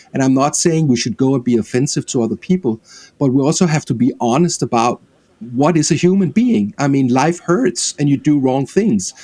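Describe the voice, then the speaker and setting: A man with a Danish accent talks at a fairly quick pace, his fairly high pitch paired with a dark, mellow tone and lively intonation. The sound is dry and close with no echo. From Denmark. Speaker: film director. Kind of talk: interview.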